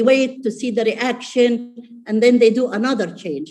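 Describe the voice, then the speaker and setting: A woman's high, dark and mellow voice, fairly even in intonation, at a moderate pace. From Saudi Arabia. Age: 70s. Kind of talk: webinar panel discussion.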